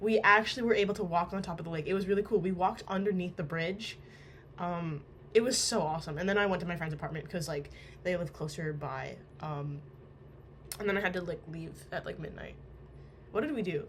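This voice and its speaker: A somewhat breathy woman with a fairly low pitch speaks at a very fast pace, with ordinary pitch variation and long, frequent pauses. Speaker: amateur book reader. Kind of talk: casual talk to camera. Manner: chatty, upbeat.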